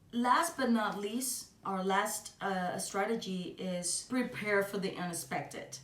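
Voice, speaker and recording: A woman with a Cuban accent speaks at a very slow pace with hardly any pauses, medium pitch and lively intonation. Noticeable background noise and audible room echo fill the recording. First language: Spanish. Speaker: singer. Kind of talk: podcast monologue. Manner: halting, many fillers.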